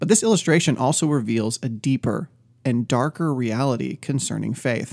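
On a very clean recording with a silent background, a man with vocal fry speaks at a medium pitch with ordinary variation. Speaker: podcast host and ministry teacher. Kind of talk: dramatic narration of a cake parable, sermon-like teaching; devotional podcast teaching. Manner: animated, theatrical, playful and suspenseful; conversational, self-deprecating humor.

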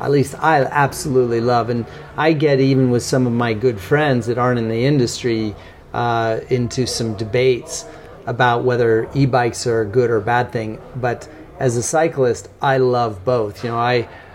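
With an American accent, a man talks at a medium pitch and a moderate pace with fairly even intonation, over noticeable background noise. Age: 50s. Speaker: bike industry executive. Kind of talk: interview. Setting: coffee shop.

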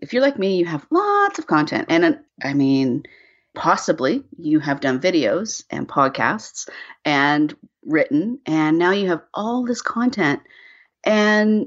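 This woman speaks with a Canadian accent at medium pitch. Her pace is fairly slow, and her pitch swings very widely. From Canada. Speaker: brand storytelling consultant. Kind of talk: interview.

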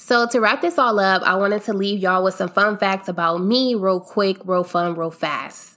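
A woman with an American accent, medium pitch and a bright, sharp tone, at a fairly slow pace. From US Midwest (Akron, Ohio). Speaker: podcast host. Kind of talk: casual monologue. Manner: upbeat, laughs often.

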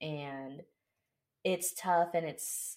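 Speaking with an American accent, a woman has a very deep, low pitch. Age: 20s. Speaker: car dealership manager. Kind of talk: casual chat.

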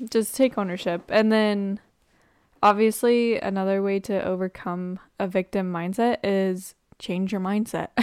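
A woman speaks fairly slowly at a medium pitch in a monotone, flat voice, the sound dry and close with no echo on a very clean recording with a silent background. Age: 20s. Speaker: podcast host. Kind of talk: casual chat.

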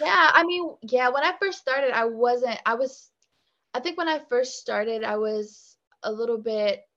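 Here is a woman with an American accent and an unremarkable speaking voice. Her fairly high pitch carries lively intonation at a fairly slow pace. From US South, Virginia (Richmond/Petersburg). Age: 20s. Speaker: singer-songwriter. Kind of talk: casual interview.

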